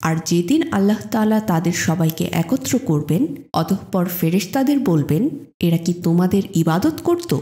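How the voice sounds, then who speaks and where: Lively in intonation and calm, soothing in tone, a woman speaks with a fairly low pitch. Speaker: audiobook narrator. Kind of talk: reading aloud.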